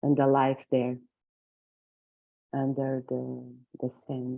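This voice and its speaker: Speaking at a very slow pace, a woman with a Portuguese accent uses a very deep, low pitch and monotone, flat intonation. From Portugal. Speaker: circle participant. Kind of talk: sharing circle. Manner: halting.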